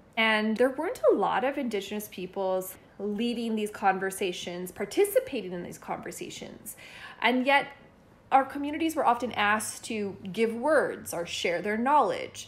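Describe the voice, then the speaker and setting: With a plain, everyday voice, a woman talks at a moderate pace, her pitch fairly high and its variation ordinary. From northern Alberta, Canada (First Nation). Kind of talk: testimony.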